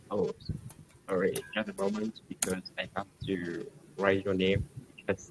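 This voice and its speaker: Long, frequent pauses break up the man's fairly slow delivery. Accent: Vietnamese. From Vietnam. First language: Vietnamese. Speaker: army officer, English learner. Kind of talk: casual conversation lesson. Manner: halting.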